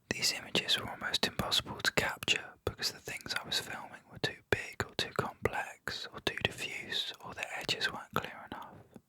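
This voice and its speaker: Whispering at a moderate pace, a man leaves hardly any pauses, and his loudness swings widely. Noticeable background noise runs underneath. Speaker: artist and art teacher. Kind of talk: film essay narration. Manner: whispered.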